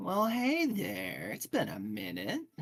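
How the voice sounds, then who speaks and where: A man uses a put-on character voice. He speaks at a fairly slow pace. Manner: sad; casual, wistful greeting.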